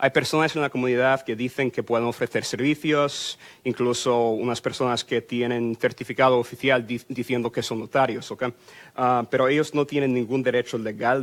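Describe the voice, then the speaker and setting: The voice belongs to a man with a medium pitch. His delivery is monotone and flat. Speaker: immigration lawyer. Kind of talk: public info workshop talk. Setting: consulate workshop with audience and microphone. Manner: fast; hesitant with fillers. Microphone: microphone repositioned, sound better.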